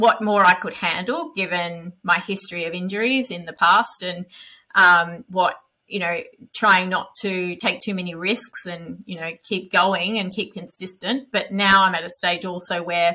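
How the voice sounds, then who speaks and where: With a bright, sharp tone and fairly even intonation, a woman speaks at a fairly slow pace. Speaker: podcast guest. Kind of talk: interview answer. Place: home room. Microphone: headset.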